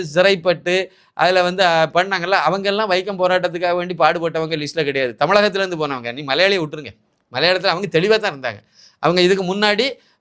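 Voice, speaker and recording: High, bright, sharp tones from a man's voice. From Tamil Nadu, Kanyakumari district, east of Nagercoil. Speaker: political commentator. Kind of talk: political commentary monologue.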